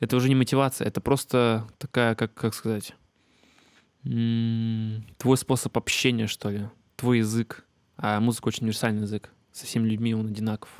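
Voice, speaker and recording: Over a quiet background with a dry sound and no echo, a man at medium pitch speaks at a moderate pace in a flat monotone, with long, frequent pauses. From Siberia, Russia (Achinsk); Siberia, Russia. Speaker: beatmaker and music teacher; music teacher. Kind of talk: casual talk to camera. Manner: many filler hesitations. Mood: calm, reflective. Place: home room. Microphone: handheld.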